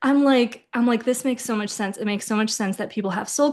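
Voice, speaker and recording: A woman talks at a fairly quick pace with an American accent and an animated tone. Her voice is fairly high, with ordinary pitch variation. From US, born in Ukraine. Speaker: intuitive reader. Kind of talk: casual chat. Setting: podcast.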